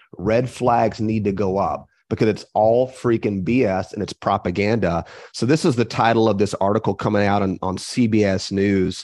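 A plain, everyday voice, a man speaks at a moderate pace and fairly low pitch with fairly even intonation and hardly any pauses against a quiet background. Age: 40s. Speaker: health podcast co-host. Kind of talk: casual chat.

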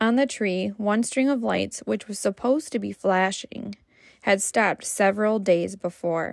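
With a normal speaking voice, a woman talks at a moderate pace and medium pitch. Her pitch varies in an ordinary way, on a very clean recording with a silent background. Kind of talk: ghost story telling. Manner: casual chatty, laughing between stories.

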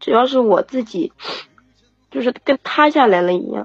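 A woman with vocal fry, speaking at a moderate pace. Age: 30s. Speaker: single mother caller. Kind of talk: call-in advice conversation.

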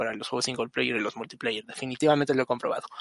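The man's voice comes across dry and close, without any echo. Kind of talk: casual chat.

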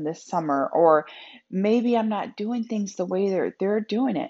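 A woman's ordinary speaking voice, medium in pitch, with lively intonation. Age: 40s. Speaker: podcast host, motivational speaker and author. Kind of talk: solo faith-based self-help talk. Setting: home office.

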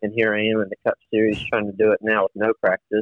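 A man with an American accent, medium in pitch and very fast. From Virginia. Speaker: racing driver. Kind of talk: interview. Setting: phone call.

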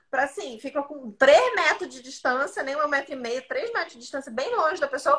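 Raised and projected, a woman's high-pitched voice has a bright, sharp tone and lively intonation. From Santa Catarina, southern Brazil. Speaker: podcast co-host. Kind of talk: casual chat. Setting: live stream.

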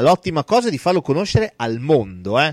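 In a very clean recording with a silent background and a dry, close sound with no echo, a man's pitch swings very widely. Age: young. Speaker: film podcast host. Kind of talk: casual chat. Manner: animated.

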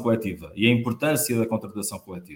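A man talks at a fairly quick pace. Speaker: union host. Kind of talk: interview. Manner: hesitant, many fillers.

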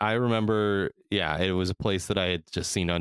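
Speaking at a moderate pace with fairly even intonation, a man with an American accent is captured in a very clean recording with a silent background, the sound dry and close with no echo. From California. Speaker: podcast host. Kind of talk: casual chat.

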